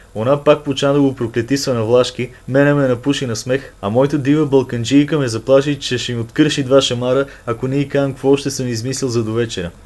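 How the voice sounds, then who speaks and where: Fairly quick speech with a northwestern Bulgarian accent and fairly even intonation. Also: man. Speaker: storyteller. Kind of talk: humorous dialect story reading.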